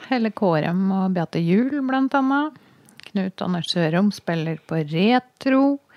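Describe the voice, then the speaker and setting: A woman speaks at a very slow pace and medium pitch with lively intonation. The sound is dry and close, with no echo. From Norway, Toten. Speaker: podcast host, journalist. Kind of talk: casual chat.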